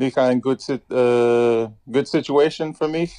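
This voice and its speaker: There is a man with a dark, mellow tone at a medium pitch. His pitch variation is ordinary. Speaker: professional basketball player. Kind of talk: interview. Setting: phone call.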